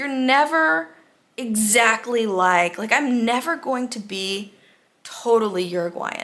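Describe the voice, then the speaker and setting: The speaker uses a bright, sharp tone and lively intonation at a very slow pace, with an American accent. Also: woman, fairly high pitch for a woman. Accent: American accent when speaking Spanish. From United States. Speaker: expat vlogger. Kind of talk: casual monologue.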